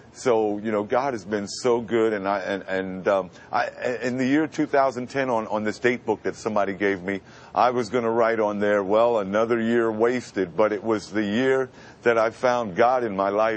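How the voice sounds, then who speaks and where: There is noticeable background noise behind this man. He has a fairly low pitch and speaks with an American accent. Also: ordinary pitch variation, moderate pace. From Brooklyn, New York. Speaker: radio announcer. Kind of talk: interview answer.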